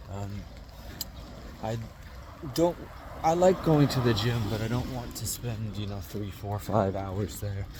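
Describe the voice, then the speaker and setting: A man's fairly low voice with lively intonation, a fairly slow pace and long, frequent pauses, amid audible room echo and noticeable background noise. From Utah, US. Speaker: vlogger. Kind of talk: casual vlog monologue. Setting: outdoors, walking in rain. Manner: hesitant, many fillers.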